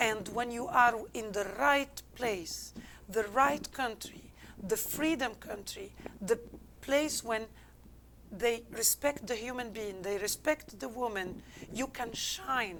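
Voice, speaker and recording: With an Algerian accent, the speaker talks at a very slow pace using lively intonation. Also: woman, fairly high pitch for a woman. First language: not English. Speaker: business consultant. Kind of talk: interview answer.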